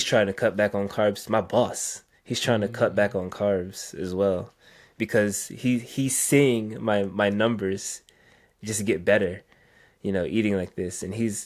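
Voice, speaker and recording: Using a plain, everyday voice, a man with an American accent speaks at a moderate pace, with a fairly low pitch and ordinary pitch variation. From US South, Virginia. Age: 20s. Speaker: IT support worker on carnivore diet. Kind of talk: interview.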